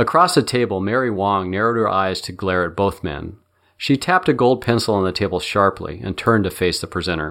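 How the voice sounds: Pitch moves in an ordinary way. The delivery is a natural reading voice.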